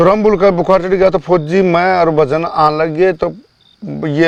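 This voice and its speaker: Speaking at a moderate pace, a man with a high voice keeps his intonation fairly even. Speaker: farm labourer. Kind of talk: interview answer, personal ghost story. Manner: casual, rambling.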